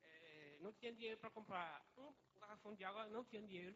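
A man talks at a fairly quick pace in a high pitch with ordinary variation. His tone is bright and sharp. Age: 20s. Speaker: church member. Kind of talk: testimony. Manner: halting.

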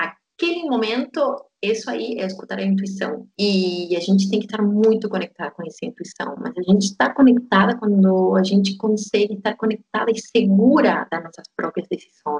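A woman with a Spanish accent talks with hardly any pauses and big swings in loudness. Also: medium pitch for a woman, ordinary pitch variation, moderate pace. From Argentina, Tierra del Fuego (Patagonia). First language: Spanish (speaking Portuguese). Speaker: yoga teacher. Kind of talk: interview, personal story.

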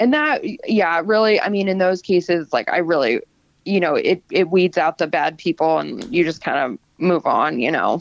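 With a normal speaking voice, a woman with an American accent talks at a moderate pace, her fairly low pitch carrying lively intonation in a dry, close sound with no echo. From South Florida. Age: 30s. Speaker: small business owner with lymphedema. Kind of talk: casual interview. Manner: casual, filler-heavy.

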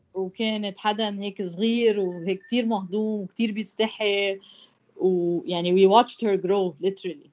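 At a fairly slow pace, a woman with medium pitch and fairly even intonation speaks in a normal speaking voice. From Lebanon. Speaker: former football player. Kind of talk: casual chat.

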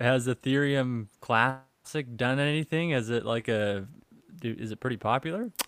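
This is a man with an unremarkable speaking voice, medium in pitch with ordinary pitch variation. He talks at a moderate pace, and the sound is dry and close with no echo. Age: 30s. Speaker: podcast co-host on stock markets. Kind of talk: casual chat.

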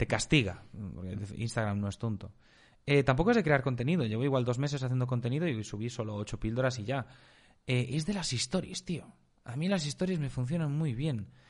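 Against a quiet background, a man with a plain, everyday voice and medium pitch talks at a fairly quick pace with lively intonation. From Spain. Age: 20s. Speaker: marketing agency entrepreneur. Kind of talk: casual interview chat.

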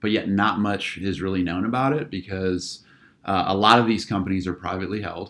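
A man with an American accent and a fairly low pitch speaks in an unremarkable speaking voice, recorded very cleanly against a silent background. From Northeast Ohio, near Akron. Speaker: business school research director and instructor. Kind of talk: interview.

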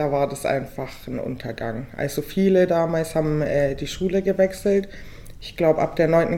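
Fairly low-pitched female voice, an unremarkable speaking voice, moderately paced and with ordinary pitch variation. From Bavarian Swabia, Weißenhorn near Ulm. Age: 20s. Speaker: law student. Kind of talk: casual chat. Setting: studio table.

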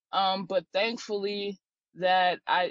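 A woman uses a normal speaking voice at a medium pitch, her intonation fairly even. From North Carolina (Durham). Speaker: college basketball player. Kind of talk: interview.

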